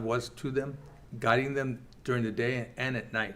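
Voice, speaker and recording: A man with a medium-pitched voice speaks fairly slowly. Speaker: church Bible class teacher. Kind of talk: Bible class teaching. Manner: halting.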